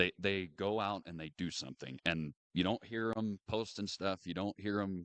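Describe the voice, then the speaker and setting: A man speaks at a moderate pace in a very deep, low pitch with ordinary pitch variation. The sound is dry and close with no echo against a quiet background. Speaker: world champion livestock auctioneer. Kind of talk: interview answer.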